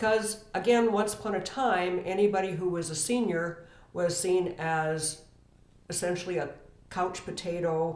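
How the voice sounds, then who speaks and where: A woman with a medium-pitched voice and ordinary pitch variation speaks at a fairly slow pace, with audible room echo. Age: 60s. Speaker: estate planning professional. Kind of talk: educational talk to camera.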